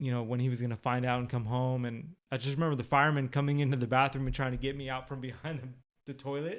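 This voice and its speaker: A man with an American accent, medium pitch, flat monotone delivery at a very fast pace. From Sacramento, California (South Sacramento). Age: 30s. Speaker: podcast guest. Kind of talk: interview testimony. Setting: at guest's home.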